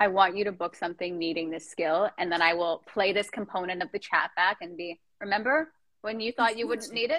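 With an unremarkable speaking voice, a woman talks at a fairly quick pace with hardly any pauses, a medium pitch and ordinary pitch variation. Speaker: Instagram live podcast host. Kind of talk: casual chat interview. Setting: Instagram live video chat from childhood home.

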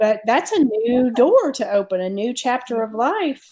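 A woman speaks at a fairly slow pace with lively intonation. Hers is a plain, everyday voice. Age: 40s. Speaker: podcast co-host. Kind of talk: casual chat.

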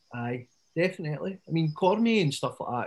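With a Scottish accent, the speaker talks at a fairly quick pace in a somewhat breathy voice with lively intonation. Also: man. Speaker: podcast co-host. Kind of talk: casual chat. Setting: video call.

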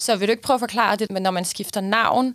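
A woman with a normal speaking voice talks at a medium pitch, with ordinary pitch variation. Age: 30s. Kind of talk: casual chat.

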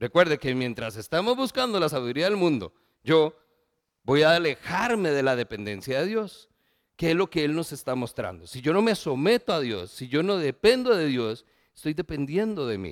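A voice with very wide pitch swings speaks at a moderate pace in a dry, close recording with no echo. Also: man, fairly high pitch for a man, very clean recording, silent background. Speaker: pastor. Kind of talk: sermon.

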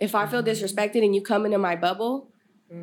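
With an American accent, a woman talks in an ordinary speaking voice at a medium pitch, her intonation fairly even. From Sacramento area, California. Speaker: podcast host and mentor. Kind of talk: casual interview chat.

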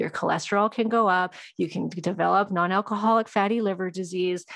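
Against a quiet background, a woman talks at a medium pitch in a monotone, flat intonation. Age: 40s. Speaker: hormone specialist and nutrition coach. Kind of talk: casual interview chat.

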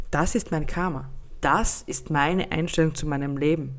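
Very deep and low, a woman's voice shows vocal fry. Her intonation is lively. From Austria. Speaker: podcast host and life coach. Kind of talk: solo podcast monologue. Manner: casual, chatty.

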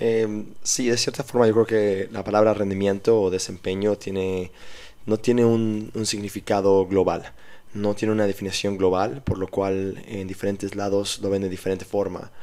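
In a very clean recording with a silent background, a man with a dark, mellow tone and fairly low pitch speaks at a moderate pace in a monotone, flat intonation. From Mexico City. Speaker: strength and conditioning coach. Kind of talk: interview.

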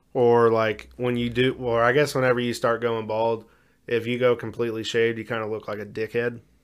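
In a very clean recording with a silent background, a man speaks fairly quickly at a medium pitch with monotone, flat intonation. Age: 20s. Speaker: podcast co-host. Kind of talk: casual chat.

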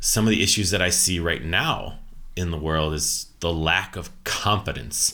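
In an American accent, the voice has a bright, sharp tone, ordinary pitch variation and a fairly slow pace. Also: man. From USA. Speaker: leadership coach and author. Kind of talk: podcast interview.

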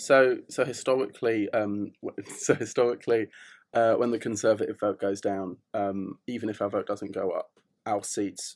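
The recording is very clean with a silent background as a man talks at a moderate speed. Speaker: student party activist. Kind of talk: casual chat. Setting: studio.

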